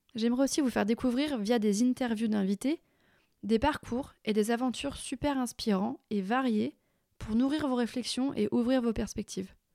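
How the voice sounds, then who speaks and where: A woman with a dark, mellow tone and a fairly high pitch speaks at a moderate pace with ordinary pitch variation, on a very clean recording with a silent background and dry, close sound with no echo. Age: 30s. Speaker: podcast host and retail consultant. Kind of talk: scripted monologue.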